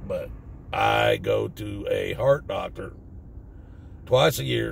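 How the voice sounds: A man with a Southern US accent speaks slowly in a low, raspy voice with vocal fry, his pitch swinging very widely.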